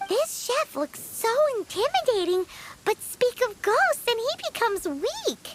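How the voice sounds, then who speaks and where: Moderately paced speech in a put-on character voice pitched extremely high. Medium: video game. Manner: cheeky, chatty.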